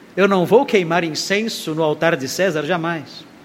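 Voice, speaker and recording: A man talks at a moderate pace, pitched high and with ordinary pitch variation. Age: 60s. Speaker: pastor. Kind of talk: sermon.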